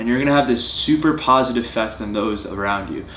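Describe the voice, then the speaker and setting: Over noticeable background noise and audible room echo, a man at medium pitch talks at a fairly quick pace with ordinary pitch variation. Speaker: fitness vlogger. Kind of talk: vlog monologue to camera. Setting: at home on couch. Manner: earnest.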